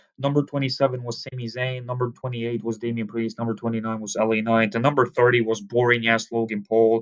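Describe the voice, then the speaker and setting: Very fast and medium in pitch, a man talks in a dry, close recording with no echo. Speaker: wrestling video reviewer. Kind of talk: casual video review. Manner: stuttering, halting; animated.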